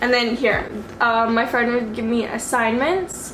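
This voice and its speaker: A woman with a high pitch talks at a moderate pace, with noticeable background noise and audible room echo. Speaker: vlogger. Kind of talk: casual vlog talk. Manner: casual, chatty.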